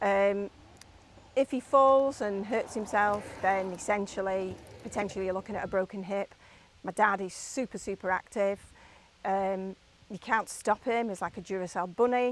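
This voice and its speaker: Recorded dry and close with no echo, a woman at medium pitch speaks at a moderate pace with fairly even intonation. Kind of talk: interview answer.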